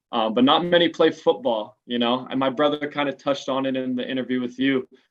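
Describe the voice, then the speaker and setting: A man talks at a very fast pace with an American accent. His intonation is fairly even. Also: medium pitch for a man. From Los Angeles, San Fernando Valley. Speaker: American football quarterback. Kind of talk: interview. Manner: casual.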